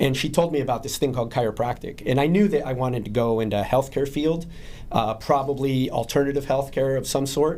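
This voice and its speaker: Speech comes at a very fast pace with ordinary pitch variation. Noticeable background noise can be heard. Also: man, medium pitch for a man. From southern Spain. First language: Spanish. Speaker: chiropractor. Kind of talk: podcast interview.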